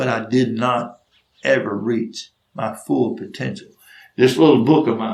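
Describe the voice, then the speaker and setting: A man with a Southern US accent, vocal fry and a fairly slow pace, with long, frequent pauses and audible room echo. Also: medium pitch for a man, ordinary pitch variation. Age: 60s. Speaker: storyteller. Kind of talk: storytelling monologue.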